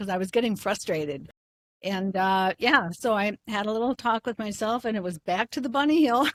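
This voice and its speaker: In a very clean recording with a silent background and a dry, close sound with no echo, a woman with an American accent speaks at medium pitch with ordinary pitch variation. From US Midwest, Eau Claire, Wisconsin. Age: 60s. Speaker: retired gym member. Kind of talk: casual interview.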